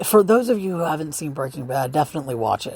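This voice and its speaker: Her pitch very deep and low, a woman speaks at a fairly quick pace. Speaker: podcaster sharing personal opinions. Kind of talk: casual monologue. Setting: outdoors outside apartment at night. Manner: halting, many restarts.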